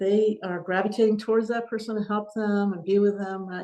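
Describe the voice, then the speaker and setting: Her pitch lands in the medium range. She is a woman. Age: 60s. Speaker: Buddhist teacher. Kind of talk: podcast interview. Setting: podcast recording. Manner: halting.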